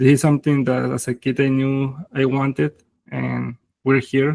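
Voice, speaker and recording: With a Mexican accent, a man speaks at a fairly slow pace with long, frequent pauses in a dry, close sound with no echo. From Mexico, Zacatecas. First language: Spanish. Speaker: tech founder. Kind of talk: interview. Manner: halting, many fillers.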